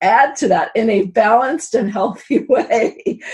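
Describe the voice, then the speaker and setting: A woman with an American accent speaks in a fairly high, somewhat breathy voice with ordinary pitch variation. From New York. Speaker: spiritual abundance coach. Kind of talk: interview. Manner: animated.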